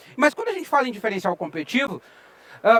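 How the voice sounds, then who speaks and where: A man speaks in a southern Brazilian accent, the sound dry and close with no echo. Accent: southern Brazilian (gaúcho). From Rio Grande do Sul, southern Brazil. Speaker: IT researcher and lecturer. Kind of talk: conference talk. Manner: conversational, with frequent filler sounds.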